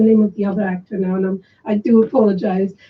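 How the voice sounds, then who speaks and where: A woman talks fairly quickly in a somewhat breathy voice. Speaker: film director. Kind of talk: radio interview. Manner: stuttering when excited.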